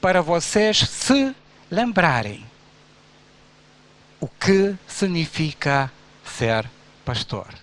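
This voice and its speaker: A man with a Romanian accent and a high pitch at a very slow pace, with very wide pitch swings, long, frequent pauses and noticeable background noise. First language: Romanian (speaking Portuguese). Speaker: pastor. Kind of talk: sermon.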